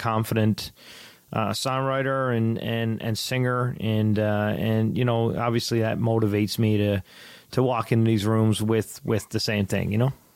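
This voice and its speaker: Here a man with a Newfoundland accent speaks at a medium pitch. His pace is fairly slow and his intonation fairly even. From Newfoundland, Canada. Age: 30s. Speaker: country singer-songwriter. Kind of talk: casual interview.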